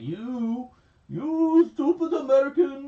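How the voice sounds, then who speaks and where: The put-on character voice is high-pitched and delivered at a very slow pace. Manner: sneering.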